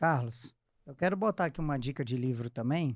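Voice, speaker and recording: In a strong Minas Gerais accent, a man speaks at a moderate pace with a fairly high pitch. His pitch variation is ordinary, and the sound is dry and close with no echo. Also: very clean recording, silent background. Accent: thick Minas Gerais (mineiro). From eastern Minas Gerais, Brazil. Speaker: podcast host. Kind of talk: casual interview chat.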